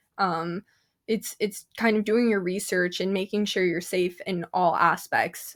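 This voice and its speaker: In a very clean recording with a silent background, a woman with an unremarkable speaking voice talks fairly slowly at a medium pitch. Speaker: paranormal radio show host. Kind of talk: interview answer. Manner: upbeat.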